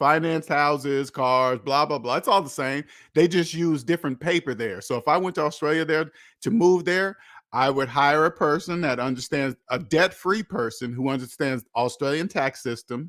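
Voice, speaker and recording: In a dry, close sound with no echo and a silent background, a man with an American accent speaks at a fairly high pitch. His tone is animated, his pace moderate, and the recording very clean. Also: ordinary pitch variation. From United States. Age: 50s. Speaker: finance channel host. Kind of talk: livestream monologue.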